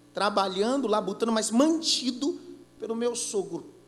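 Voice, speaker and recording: A man speaks at a fairly slow pace in a high pitch, his tone animated with very wide pitch swings. Noticeable background noise and audible room echo surround him. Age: 30s. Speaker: pastor. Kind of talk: sermon.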